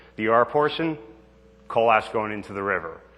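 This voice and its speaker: The voice carries an American accent and a bright, sharp tone. Its pitch varies in an ordinary way. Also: man. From New Jersey. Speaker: federal environmental agency responder. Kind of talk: public informational presentation. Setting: public meeting with audience and slides. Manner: fast when excited; halting, many fillers.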